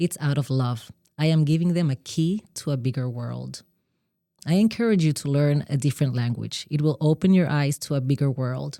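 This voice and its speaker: In a Spanish accent, a woman speaks at a very deep, low pitch with a dark, mellow tone. Her pace is moderate, her pitch varies in an ordinary way, and the sound is dry and close with no echo. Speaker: podcast co-host. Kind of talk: scripted monologue; casual chat.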